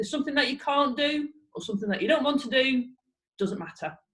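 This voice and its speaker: In a northern English accent, a woman speaks at a high pitch with lively intonation. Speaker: fitness instructor. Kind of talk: exercise class instruction.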